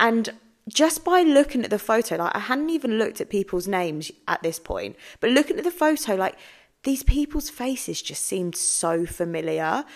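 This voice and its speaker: A woman with an English accent and a high pitch talks at a moderate pace in an animated tone with very wide pitch swings. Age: 30s. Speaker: podcast host, mindset coach. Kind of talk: solo podcast monologue.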